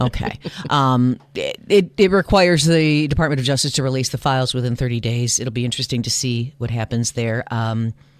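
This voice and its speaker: A woman with an American accent talks at a fairly quick pace with hardly any pauses, her pitch very deep and low with ordinary variation. Noticeable background noise runs under her voice. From US Midwest. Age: 60s. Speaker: journalist and podcast co-host. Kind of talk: casual news chat podcast. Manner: animated.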